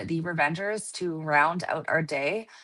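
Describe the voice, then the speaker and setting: Against a quiet background, a woman's bright, sharp tone moves with ordinary pitch variation. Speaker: sports commentator. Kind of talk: live sports commentary.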